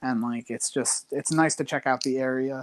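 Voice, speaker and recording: This man talks in a monotone with flat intonation, with an American accent and medium pitch, in a dry, close sound with no echo on a very clean recording with a silent background. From New Jersey, US. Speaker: online quiz game player. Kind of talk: casual interview chat. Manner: many fillers and hesitations.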